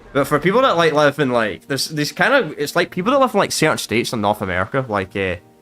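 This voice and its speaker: A man talks at a very fast pace with a Scottish accent. His pitch swings very widely. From Scotland. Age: 20s. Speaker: gamer streamer. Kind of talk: casual gameplay commentary. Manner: casual, rambling repetitions.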